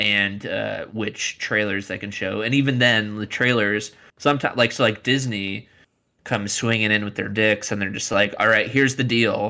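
A man's bright, sharp voice, fairly low in pitch, moves at a moderate pace in a monotone, flat intonation. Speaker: podcast host. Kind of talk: casual chat. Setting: video call.

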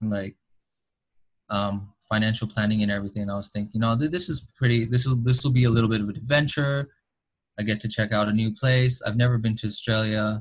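A man's somewhat breathy voice sits at a medium pitch and varies in an ordinary way. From Boston, Massachusetts, US. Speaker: international student ambassador. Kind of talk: interview.

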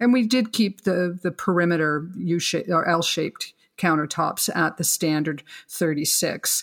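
A woman's ordinary speaking voice, fairly low in pitch, at a moderate pace and very even loudness. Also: ordinary pitch variation. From Canada. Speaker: kitchen designer. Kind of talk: interview, explanatory talk.

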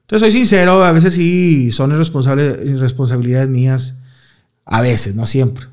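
With audible room echo, a man speaks in an animated tone and lively intonation. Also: medium pitch for a man, moderate pace. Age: 30s. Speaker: comedian. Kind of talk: casual chat.

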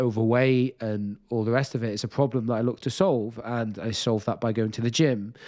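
A man speaks at a medium pitch with a Welsh accent. The recording is very clean, with a silent background. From Wales. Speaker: nutritionist and disordered eating specialist. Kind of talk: interview. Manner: halting, many fillers.

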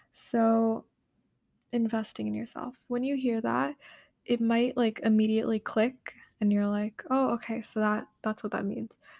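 The recording is very clean, with a silent background. A somewhat breathy woman speaks at a moderate pace with fairly even intonation. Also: fairly high pitch for a woman. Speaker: podcast host. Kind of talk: solo monologue podcast. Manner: hesitant, many fillers.

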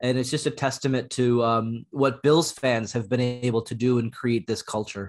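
A man with an unremarkable speaking voice talks at a moderate pace and a medium pitch, with hardly any pauses. His intonation is fairly even, and the background is quiet. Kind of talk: casual chat.

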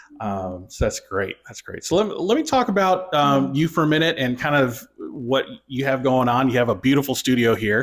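With an American accent and an unremarkable speaking voice, a man with a fairly high pitch talks at a moderate pace with lively intonation and hardly any pauses. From Michigan, US. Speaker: podcast host. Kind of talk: interview.

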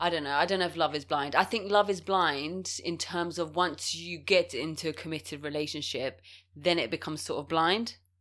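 A woman's unremarkable speaking voice, fairly low in pitch and fairly even in intonation, at a fairly quick pace on a very clean recording with a silent background. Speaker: podcast co-host. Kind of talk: casual chat, advice podcast.

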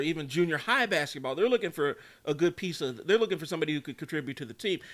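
On a very clean recording with a silent background, a man talks in an animated tone with lively intonation. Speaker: youth basketball coach and podcast host. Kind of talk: casual chat.

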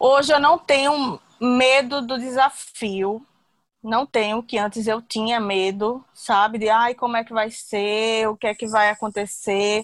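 In a very clean recording with a silent background and a dry, close sound without echo, a woman with an unremarkable speaking voice talks fairly slowly in a fairly high pitch, with ordinary pitch variation. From Brazil, Recife (Pernambuco). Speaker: confectionery business owner. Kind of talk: interview testimony.

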